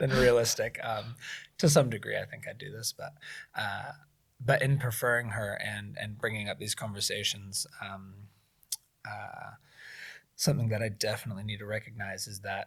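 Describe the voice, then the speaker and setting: Pausing long and often, a man at medium pitch talks at a moderate pace with ordinary pitch variation and big swings in loudness. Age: young. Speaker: young father, podcast guest. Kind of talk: casual chat. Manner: loud when passionate.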